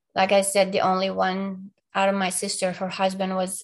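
A woman with an Arabic accent speaks at medium pitch and a moderate pace in a flat monotone, against a quiet background. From Palestine. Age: 40s. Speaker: abuse survivor. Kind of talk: interview testimony.

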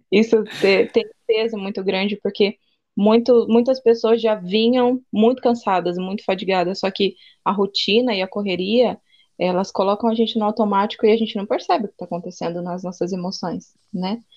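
A woman speaks at a moderate pace in an unremarkable speaking voice. Her pitch is medium and her intonation fairly even. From interior of São Paulo state, Brazil. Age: 20s. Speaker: psychoanalyst and missionary. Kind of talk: casual chat.

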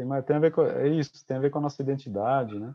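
An unremarkable speaking voice comes through with ordinary pitch variation. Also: man. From Brazil, interior of São Paulo state. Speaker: podcast co-host. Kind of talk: casual chat.

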